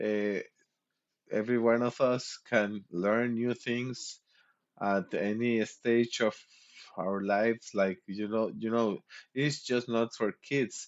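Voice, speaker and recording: A man with a medium-pitched voice talks very slowly, leaving long, frequent pauses while his intonation stays fairly even. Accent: Mexican. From Mexico. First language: Spanish. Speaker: streamer. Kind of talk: casual chat. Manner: halting.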